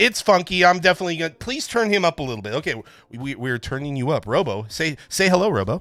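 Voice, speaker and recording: Very fast speech over music in the background. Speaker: marble race livestream host. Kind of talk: casual chat. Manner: loud; halting.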